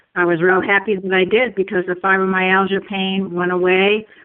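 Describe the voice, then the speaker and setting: A woman speaks at medium pitch and a moderate pace. Her intonation is monotone and flat. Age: 70s. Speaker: testimonial speaker, retired mental health worker. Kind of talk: testimony.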